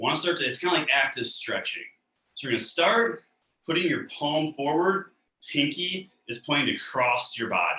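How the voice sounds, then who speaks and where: A man speaks in an unremarkable speaking voice, his pitch fairly high. His pace is moderate. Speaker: mobility coach. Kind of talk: guided exercise class. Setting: live video call class. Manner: calm.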